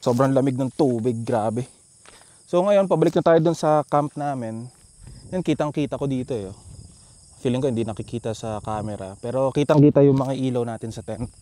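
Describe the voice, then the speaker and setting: Speaking at a fairly quick pace, a man of medium pitch has a dark, mellow tone and ordinary pitch variation. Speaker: motovlogger. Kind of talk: casual vlog narration. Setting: outdoors at a campsite. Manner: softer voice to not wake others.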